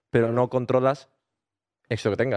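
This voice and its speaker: A man talks at a very fast pace against a quiet background. The sound is dry and close, with no echo. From Granada, Spain. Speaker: podcast co-host. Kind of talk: casual chat.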